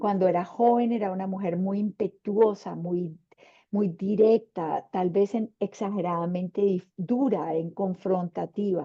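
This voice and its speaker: A woman's plain, everyday voice at medium pitch, fairly slow in pace, with fairly even intonation. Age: 60s. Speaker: panelist, women's leadership mentor. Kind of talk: panel discussion.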